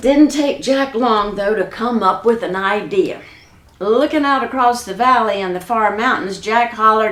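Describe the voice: Someone reads aloud plainly. Pitch moves in an ordinary way.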